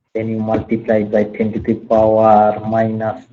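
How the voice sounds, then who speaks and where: Audible room echo surrounds a man of medium pitch who talks at a fairly slow pace. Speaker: university lecturer. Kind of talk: online lecture. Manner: soft-spoken.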